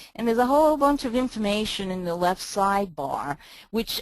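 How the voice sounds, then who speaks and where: A woman with a New York accent at a moderate pace. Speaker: email marketing consultant. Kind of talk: software walk-through.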